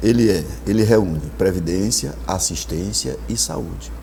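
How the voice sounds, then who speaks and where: Noticeable background noise and audible room echo surround a man's voice. He talks at a fairly slow pace with a very deep, low pitch. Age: 60s. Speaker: political candidate. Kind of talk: TV interview.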